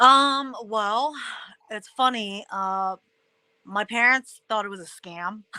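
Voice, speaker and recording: A woman with an American accent and a bright, sharp tone speaks at a fairly high pitch and very slow pace, with ordinary pitch variation, long, frequent pauses and big swings in loudness, in dry, close sound with no echo. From United States, raised by Chinese immigrant family. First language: Mandarin Chinese. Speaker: former professional wrestler and actress. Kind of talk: interview. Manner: casual, with many fillers.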